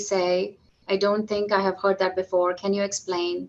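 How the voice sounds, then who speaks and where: A woman with a slight Indian accent speaks at a moderate pace and medium pitch. Her intonation stays flat and monotone. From southern India (Madurai). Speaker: physician executive. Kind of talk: podcast interview.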